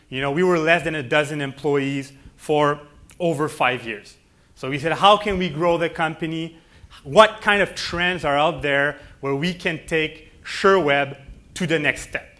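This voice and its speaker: Speaking with a Quebec accent, a man uses a fairly high pitch and a bright, sharp tone. He goes at a fairly slow pace with ordinary pitch variation. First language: French. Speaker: company president. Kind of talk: keynote speech.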